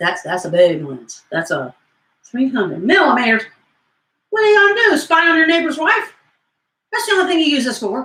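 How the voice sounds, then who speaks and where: With a Southern US accent, a woman speaks in an upbeat tone at a moderate pace, her pitch swinging very widely. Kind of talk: comedic infomercial talk to camera. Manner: goofy, rambling, upbeat.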